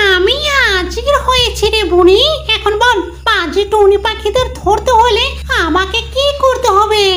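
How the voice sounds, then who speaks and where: A female-sounding cartoonish character voice, extremely high in pitch, speaks at a fairly slow pace over loud music in the background. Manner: coarse, insulting.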